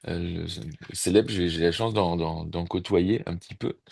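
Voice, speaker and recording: Against a quiet background, a man with a very deep, low pitch talks at a fairly slow pace with fairly even intonation. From Burgundy, France (Mâcon). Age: 60s. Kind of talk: casual chat. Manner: halting, many hesitations.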